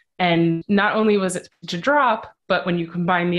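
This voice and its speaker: With an American accent, a woman in an ordinary speaking voice talks at a fairly low pitch with ordinary pitch variation against a quiet background. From United States. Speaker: political journalist. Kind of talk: interview analysis.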